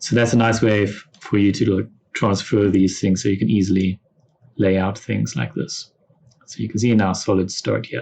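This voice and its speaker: A man speaks with a fairly low pitch and vocal fry. His intonation stays fairly even. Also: moderate pace. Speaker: software instructor. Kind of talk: tutorial. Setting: classroom lesson with students.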